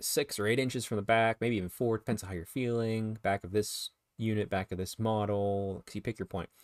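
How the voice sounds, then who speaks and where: A man speaks in an ordinary speaking voice, fairly low in pitch, with fairly even intonation. He leaves hardly any pauses, on a very clean recording with a silent background. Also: fairly quick pace, dry, close sound with no echo. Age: 30s. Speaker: wargaming podcast host. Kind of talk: casual chat.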